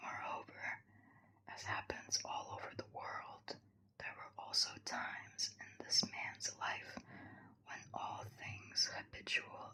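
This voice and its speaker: Someone is whispering. The pace is very slow. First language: not English. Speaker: ASMR creator. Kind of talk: ASMR book reading. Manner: whispered.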